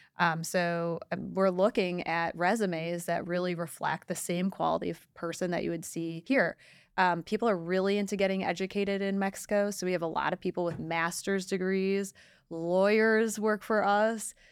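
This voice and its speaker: Her voice is an unremarkable speaking voice, a woman at medium pitch using fairly even intonation and a moderate pace. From Detroit, Michigan, US. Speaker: property management entrepreneur, CEO of staffing firm. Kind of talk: casual interview.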